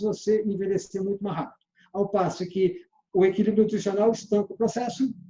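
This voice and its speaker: A man's high-pitched voice at a moderate pace. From Minas Gerais, Brazil (Belo Horizonte). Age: 60s. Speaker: sales trainer. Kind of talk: lecture.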